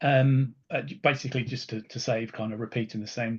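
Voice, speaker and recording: A man with a British accent, medium in pitch and somewhat breathy, at a moderate pace. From UK. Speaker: solutions architect. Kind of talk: webinar presentation. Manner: halting, many fillers.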